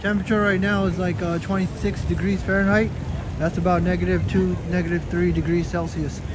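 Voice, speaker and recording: A man talks at a fairly quick pace with very even loudness, audible room echo and noticeable background noise. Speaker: live-stream walking vlogger. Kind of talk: casual live-stream commentary. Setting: outdoors at night in cold weather.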